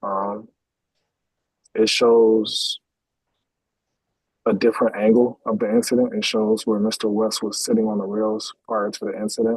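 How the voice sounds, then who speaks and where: Flat and monotone, the delivery keeps a moderate pace. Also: man, medium pitch for a man. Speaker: police detective. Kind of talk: witness testimony. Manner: hesitant, many fillers. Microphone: too quiet, far from device.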